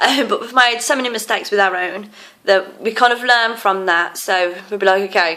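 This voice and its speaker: Here is a woman with an English accent. Her intonation is fairly even throughout. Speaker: tarantula keeper. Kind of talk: casual show-and-tell video. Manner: hesitant with many fillers.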